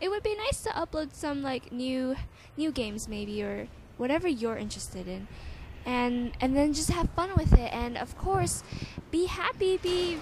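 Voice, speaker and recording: Her tone animated, a woman talks at a moderate pace in a high pitch with very wide pitch swings over noticeable background noise. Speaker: gaming commentator. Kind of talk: casual Q&A over gameplay.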